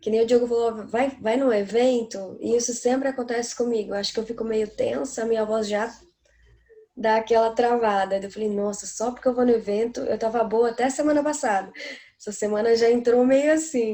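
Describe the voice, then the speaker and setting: A woman's fairly high voice with fairly even intonation, at a moderate pace. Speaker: singer. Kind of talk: casual chat.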